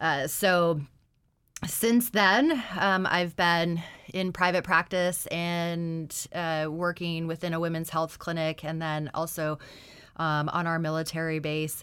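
With an Alaskan accent, a woman talks at a very slow pace in a fairly low pitch and fairly even intonation. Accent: American (Alaskan). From Alaska, Anchorage. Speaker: nurse practitioner. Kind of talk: radio interview. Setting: radio studio.

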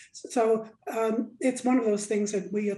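Somewhat breathy and dark, mellow in tone, a woman speaks with fairly even intonation. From Alaska, Nome. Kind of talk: radio interview.

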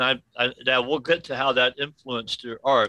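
A normal speaking voice at a moderate pace, with a dry, close sound and no echo. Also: man. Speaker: radio host. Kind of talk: interview.

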